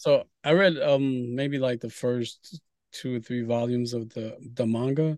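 Here a man talks at a fairly slow pace. His pitch is medium and his intonation fairly even. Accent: New York. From New York City, Brooklyn. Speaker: comic book writer and publisher. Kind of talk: interview.

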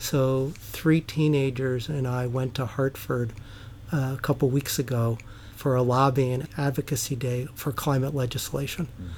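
An unremarkable speaking voice, this man's is medium in pitch with an American accent, fairly even intonation and a moderate pace. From US Northeast, New York. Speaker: guest, climate activist and synagogue member. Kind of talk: casual interview conversation.

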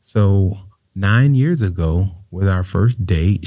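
In a very clean recording with a silent background, a man with an American accent speaks at a fairly low pitch in a dark, mellow, somewhat breathy tone, his pitch varying in an ordinary way. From Florida, Riviera Beach. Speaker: state senator. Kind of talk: interview.

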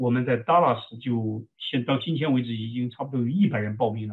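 A man speaks in a plain, everyday voice at medium pitch. His pace is moderate and his pitch varies an ordinary amount. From China, Shaanxi. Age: 40s. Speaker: army veteran and military chaplain. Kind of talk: interview testimony.

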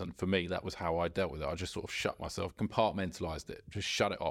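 In a southern English accent, a man talks at a very fast pace with a very deep, low pitch and ordinary pitch variation, on a very clean recording with a silent background. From Surrey, southern England. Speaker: amateur golfer. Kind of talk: casual chat. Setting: golf club.

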